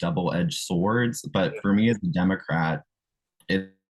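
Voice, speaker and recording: With an American accent, a man speaks at a moderate pace and fairly low pitch in an unremarkable speaking voice. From South Carolina. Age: 20s. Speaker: political candidate. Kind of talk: interview answer.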